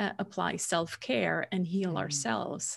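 A woman's voice at a medium pitch. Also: very clean recording, silent background. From Switzerland. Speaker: business coach. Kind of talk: casual interview.

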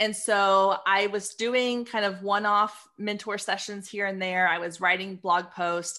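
In a very clean recording with a silent background, a woman speaks with an American accent. Her medium-pitched voice has a bright, sharp tone. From Texas (Waco). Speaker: business coach and photographer. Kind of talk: interview.

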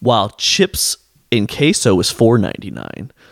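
A man's voice with vocal fry comes through dry and close with no echo, on a very clean recording with a silent background. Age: 20s. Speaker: healthcare administrator. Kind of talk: casual chat.

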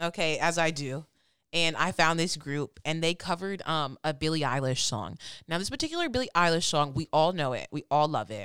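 Recorded very cleanly against a silent background with a dry, close sound and no echo, a woman with an American accent speaks fairly quickly in a very deep, low pitch, her tone animated and her pitch variation ordinary. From Michigan. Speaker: podcast co-host. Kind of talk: casual chat.

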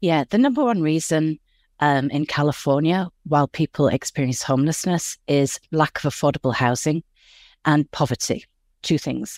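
Someone with an English accent speaks at a moderate pace in a very clean recording with a silent background. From West Yorkshire, England. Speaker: nonprofit executive. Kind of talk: interview.

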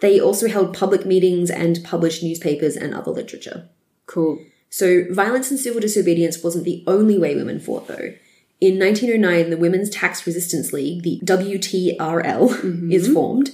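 A woman with an Australian accent has a dark, mellow tone at medium pitch, speaking at a moderate pace with ordinary pitch variation. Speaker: history podcast co-host. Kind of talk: scripted history narration.

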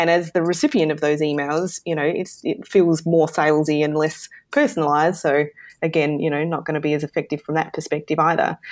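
A woman with an Australian accent, very deep and low in pitch, flat and monotone in intonation, at a fairly quick pace, on a very clean recording with a silent background. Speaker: e-commerce marketing consultant. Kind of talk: interview.

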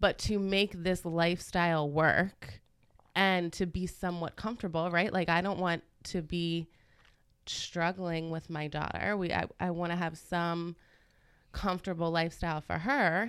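A woman with an ordinary speaking voice talks at a moderate pace in a fairly low pitch. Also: fairly even intonation, very clean recording, silent background. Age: 30s. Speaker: salon owner. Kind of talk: casual chat.

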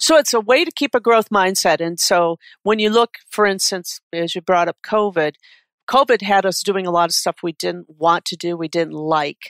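With a Midwestern American accent, a woman speaks at a moderate pace and medium pitch with ordinary pitch variation, on a very clean, dry, close recording with a silent background and no echo. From Detroit area, Michigan. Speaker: executive coach. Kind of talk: interview.

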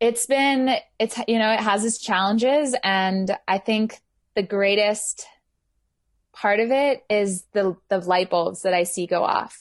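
At a very slow pace, a woman speaks with a medium pitch, ordinary pitch variation and very even loudness against a quiet background. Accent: American. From England and Houston, Texas. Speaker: workshop facilitator and yoga teacher. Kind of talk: casual interview chat.

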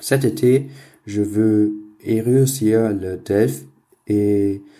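On a very clean recording with a silent background, a man with a German accent speaks in a dark, mellow tone with ordinary pitch variation. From Germany. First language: German (speaking French). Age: young. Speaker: university student. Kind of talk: recorded listener message.

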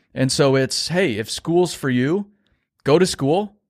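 In a dry, close sound with no echo, a man speaks at a very slow pace and a fairly high pitch, with ordinary pitch variation. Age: 20s. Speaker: business owner, construction marketing CEO. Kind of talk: interview.

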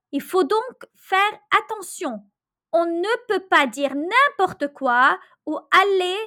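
A woman's extremely high-pitched, raised and projected voice has a bright, sharp tone. She speaks at a very slow pace with very wide pitch swings. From Lebanon. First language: Arabic (speaking Italian). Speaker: storyteller. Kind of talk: storytelling.

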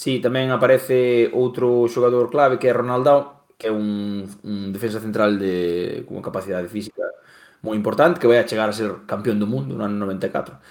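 The speaker has a Galician accent. Pitch varies in an ordinary way. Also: man, medium pitch for a man, moderate pace. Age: 30s. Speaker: football pundit. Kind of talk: football history discussion.

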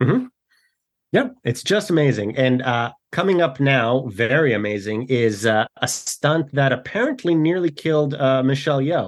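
A man speaks at a medium pitch with lively intonation. He keeps a moderate pace and very even loudness. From immigrated to Canada as a child in 1992. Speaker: actor and filmmaker. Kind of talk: casual film discussion. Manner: halting, many fillers and repeats.

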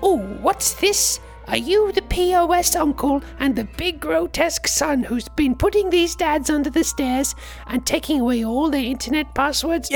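A put-on character voice that sounds female goes along at a moderate pace with clear music in the background. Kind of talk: comic overacting. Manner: warm, indignant, bumbling.

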